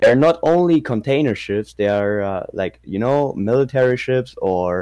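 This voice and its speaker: With a German accent, a man speaks at a moderate pace in a medium pitch with a dark, mellow tone. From northern Germany, near Wilhelmshaven. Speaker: subscriber interviewed about his city. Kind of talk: casual chat. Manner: halting, hesitant non-native English.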